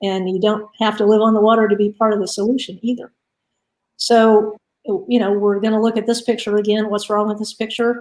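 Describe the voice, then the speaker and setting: Her pitch fairly high, a woman talks at a fairly quick pace with a monotone, flat intonation. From Florida, Miami. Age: 60s. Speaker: invited speaker on native plants and water quality. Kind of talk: presentation. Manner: casual, with many filler words.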